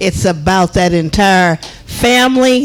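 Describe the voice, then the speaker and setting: Very slow speech is heard with noticeable background noise. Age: 70s. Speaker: resident speaking at public comment. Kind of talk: public comment at village meeting.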